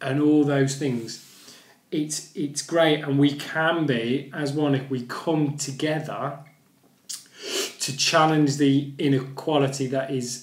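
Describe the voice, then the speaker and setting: Fairly slow speech from a man, with audible room echo and noticeable background noise. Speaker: vlogger who stammers. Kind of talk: personal vlog. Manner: stammering, with repetitions.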